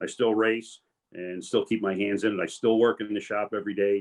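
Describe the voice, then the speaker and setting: Speaking at a fairly quick pace, a man uses a fairly low pitch and a monotone, flat intonation. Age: 60s. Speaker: retired police commander and tow business owner. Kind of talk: career panel talk.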